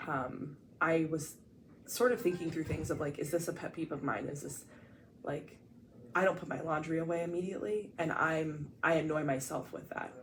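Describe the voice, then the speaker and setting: A woman with an American accent and a very deep, low pitch, at a moderate pace with ordinary pitch variation, in audible room echo. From Ohio, US Midwest (small town). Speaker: podcast co-host. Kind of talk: casual chat. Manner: loud.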